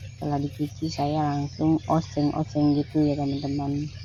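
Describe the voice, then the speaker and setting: Speaking at a fairly slow pace, a woman has a very deep, low pitch and a monotone, flat intonation. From East Kalimantan, Indonesia (Dayak Tunjung). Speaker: housewife vlogger. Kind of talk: cooking vlog tutorial. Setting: home kitchen. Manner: halting, stiff.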